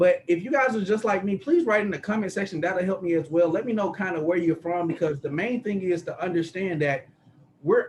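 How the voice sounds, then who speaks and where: Animated in tone, a man with an American accent speaks at a moderate pace and high pitch with ordinary pitch variation, with noticeable background noise behind him. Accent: country twang. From US South, Atlanta. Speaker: sales presenter, business mentor. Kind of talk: sales pitch. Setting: video call.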